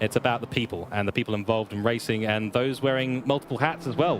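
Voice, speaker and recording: Over music in the background, a man rattles along at a very fast pace with ordinary pitch variation. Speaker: sim racing commentator. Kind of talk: live stream commentary chat. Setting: online live stream over internet connection.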